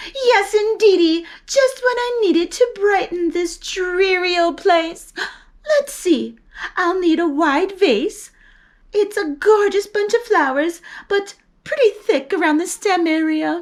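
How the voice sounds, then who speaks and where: A woman bellows loudly in a put-on character voice. Her pitch is extremely high and her pace fairly slow. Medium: read story. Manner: loud, bellowing.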